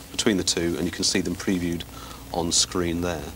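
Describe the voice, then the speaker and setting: A man speaks very fast in a very deep, low voice. His intonation is monotone and flat, with noticeable background noise behind him. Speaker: technology journalist demonstrating software. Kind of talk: TV studio interview demonstration. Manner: mumbling.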